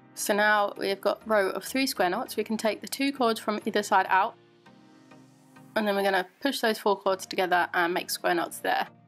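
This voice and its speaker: Music plays in the background as a woman with an English accent talks. Her pace is moderate and her pitch varies in an ordinary way. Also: medium pitch for a woman. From England. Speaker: macrame crafter. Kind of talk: craft tutorial voiceover.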